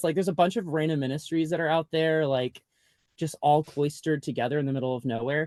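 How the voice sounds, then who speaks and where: Speech runs at a very fast pace. The sound is dry and close, with no echo. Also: man. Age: 30s. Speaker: memoir author, former youth pastor. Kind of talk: podcast interview. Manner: casual, filler-heavy (like, um).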